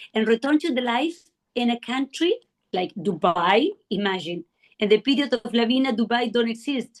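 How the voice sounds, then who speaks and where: With a non-native accent, a woman talks at a moderate pace in a fairly high pitch with lively intonation, the sound dry and close with no echo. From South America. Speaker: art collector. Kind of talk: interview. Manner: halting.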